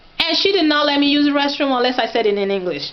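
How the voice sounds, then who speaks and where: Noticeable background noise sits behind this recording. A woman with a high pitch speaks at a very fast pace. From Nigeria, Oyo State (Yoruba). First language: Yoruba. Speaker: vlogger. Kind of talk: casual vlog talk. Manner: animated.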